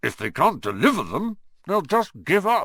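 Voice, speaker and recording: Putting on a character voice, a man growls in a gruff, high-pitched tone at a moderate pace. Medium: read story. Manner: gruff, growling.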